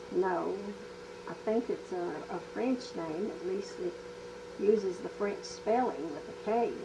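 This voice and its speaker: A woman speaks at a very slow pace, her loudness swinging widely. Noticeable background noise runs underneath. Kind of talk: oral history interview answer. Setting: home cassette recording.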